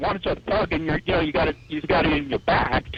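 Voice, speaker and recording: Speech rushes by at a very fast pace. Behind it sits noticeable background noise. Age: 40s. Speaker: caller. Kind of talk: call-in opinion on talk radio.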